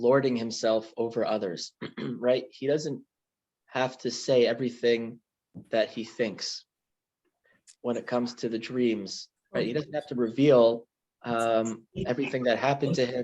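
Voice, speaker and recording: The speech moves at a fairly slow pace with fairly even intonation. Long pauses come often. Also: man, medium pitch for a man. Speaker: rabbi teaching a class. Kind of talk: lecture. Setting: video call. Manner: halting, many ums.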